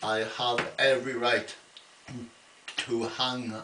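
Against noticeable background noise, a man speaks at a medium pitch in a monotone, flat intonation. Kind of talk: casual talk to camera. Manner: slow, halting.

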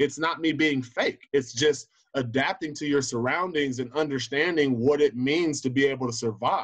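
Over a quiet background, a man with an American accent speaks at a moderate pace in a fairly high voice with fairly even intonation. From Southern California (Inland Empire); Southern California. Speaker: high school football coach. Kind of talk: interview. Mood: earnest, reflective. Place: home room. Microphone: video call.

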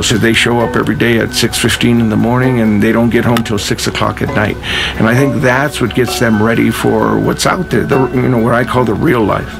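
Clear music plays in the background as a man talks at a fairly quick pace. His intonation stays fairly even. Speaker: cross-country head coach. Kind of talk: interview answer mixed with coaching instructions. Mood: calm, reflective. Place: forest.

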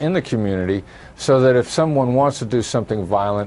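This man speaks at a moderate pace with lively intonation over noticeable background noise. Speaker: former FBI special agent and terrorism expert. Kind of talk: TV news interview answer.

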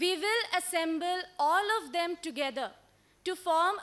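Her bright, sharp voice sits extremely high for a woman, moving at a fairly slow pace with ordinary pitch variation. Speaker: presenter. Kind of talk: conference presentation. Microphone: podium.

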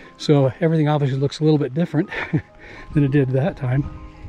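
Faint music plays behind a man whose intonation stays fairly even. The sound is dry with no echo. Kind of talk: casual vlog narration while hiking. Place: forest. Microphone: phone near.

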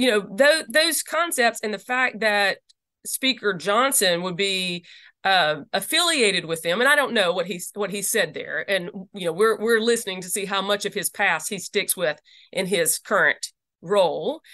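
A woman at medium pitch with a slight Southern US accent, a bright, sharp tone, lively intonation and a moderate pace, in a dry, close sound with no echo. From US South. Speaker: lawyer and religious freedom advocate. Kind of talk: interview. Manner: halting, many fillers.

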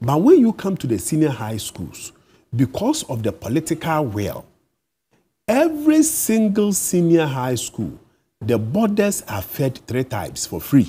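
Somewhat breathy and dark, mellow in tone, a man speaks at a fairly slow pace. His pitch swings very widely. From Ghana. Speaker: teachers' union leader. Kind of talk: TV interview. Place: studio. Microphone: lapel.

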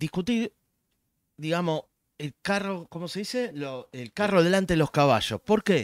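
With a Rioplatense accent, a man speaks at a fairly slow pace, his sound dry with no echo over a quiet background. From Argentina. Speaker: economist; guest. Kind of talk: casual chat. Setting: live stream. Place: home room. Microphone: studio mic.

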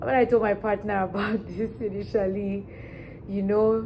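There is light background noise as a woman talks at a fairly slow pace. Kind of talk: storytelling vlog. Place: home room. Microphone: camera far.

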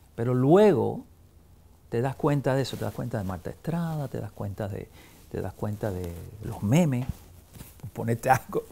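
Somewhat breathy and dark, mellow in tone, a man speaks at a moderate pace with lively intonation and long, frequent pauses. Light background noise can be heard. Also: medium pitch for a man. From Cuba, Havana; Cuba. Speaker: film critic and journalist; journalist. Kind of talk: interview. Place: home room. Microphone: lapel.

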